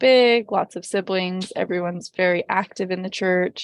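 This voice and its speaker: A woman with a western US accent talks at a moderate pace and fairly even intonation, in a dry, close sound with no echo against a quiet background. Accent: American English, western US. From Utah. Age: 20s. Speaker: podcast guest sharing faith story. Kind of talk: personal testimony. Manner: halting, many fillers and restarts.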